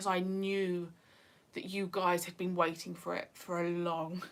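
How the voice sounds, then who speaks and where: With a northeast English accent, a woman speaks at a moderate pace in a fairly low pitch and a monotone, flat intonation. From northeast England. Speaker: YouTuber. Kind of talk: livestream chat. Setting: livestream.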